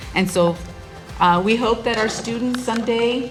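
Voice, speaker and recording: A woman's voice with ordinary pitch variation, audible room echo and noticeable background noise. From South Texas, the Valley. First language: Spanish. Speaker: college president. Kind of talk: welcome speech. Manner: halting, with repetitions.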